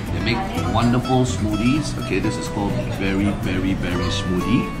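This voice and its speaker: A man's voice at a moderate pace with ordinary pitch variation, loud music playing behind him. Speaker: food vlogger. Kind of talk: casual vlog chat. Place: cafe. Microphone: phone near.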